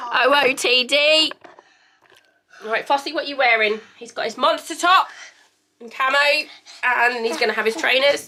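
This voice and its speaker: A woman with an English accent speaks in a high, raised, projected voice at a moderate pace with ordinary pitch variation. Her loudness swings a lot, and she leaves long, frequent pauses. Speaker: vlogger. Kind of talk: casual vlog chat. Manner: animated.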